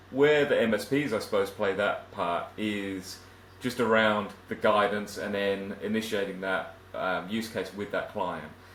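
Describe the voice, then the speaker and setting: A man's fairly low voice at a fairly slow pace, with fairly even intonation and audible room echo. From southern England. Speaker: IT automation consultant. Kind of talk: interview.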